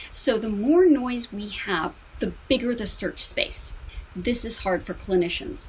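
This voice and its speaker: Speaking with an American accent, a woman talks at a fairly slow pace. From United States. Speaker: psychologist. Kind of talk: conference talk. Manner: formal.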